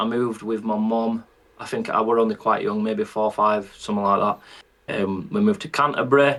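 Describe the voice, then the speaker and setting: A Yorkshire accent at a moderate pace, with very wide pitch swings. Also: man. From northern England, Bradford. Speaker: country singer. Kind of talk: casual chat.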